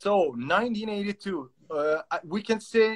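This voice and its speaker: A man with a high-pitched voice speaks with a Turkish accent. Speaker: dog trainer and live-stream host. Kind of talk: casual interview chat. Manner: halting.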